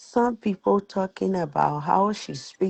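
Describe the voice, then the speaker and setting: A woman with a strong Liberian accent speaks with lively intonation. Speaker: live stream participant. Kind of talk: heated discussion. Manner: animated.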